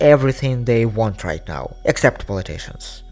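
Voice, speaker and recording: Over music in the background, a man with a Russian accent speaks at a moderate pace. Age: 20s. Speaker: digital storyteller. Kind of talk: personal video essay.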